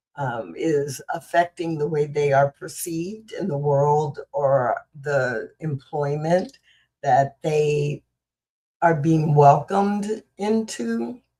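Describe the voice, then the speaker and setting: Very slowly, a woman speaks in a very deep, low voice that is somewhat breathy, with a dark, mellow tone. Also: ordinary pitch variation. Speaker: spiritual practitioner and show host. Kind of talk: talk on inclusive ministry. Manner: halting.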